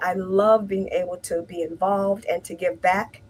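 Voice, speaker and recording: A woman speaks at a medium pitch with an American accent. Her voice is somewhat breathy. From US Midwest, Detroit, Michigan. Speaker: healthcare imaging manager. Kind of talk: casual interview chat. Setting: live-streamed interview.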